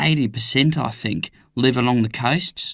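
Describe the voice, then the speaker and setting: Lively intonation and a bright, sharp tone mark this man's speech at a moderate pace. The sound is dry and close, with no echo. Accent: Australian. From Australia, Melbourne. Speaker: English-learning speaker. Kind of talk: scripted monologue.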